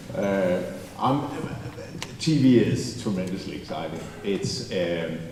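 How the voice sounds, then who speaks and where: A man with a Danish accent and a very deep, low pitch is heard with audible room echo and noticeable background noise. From Denmark, Copenhagen. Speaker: advertising company CEO. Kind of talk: onstage interview. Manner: animated.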